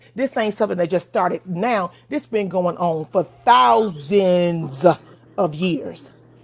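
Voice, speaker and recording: Over music in the background, a woman speaks very slowly at a fairly low pitch with lively intonation. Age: 40s. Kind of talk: livestream debate, opinionated talk.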